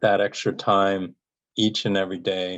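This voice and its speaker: A man's fairly low pitch over a quiet background. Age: 60s. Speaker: cancer survivor. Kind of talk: interview. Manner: halting, many fillers and repetitions.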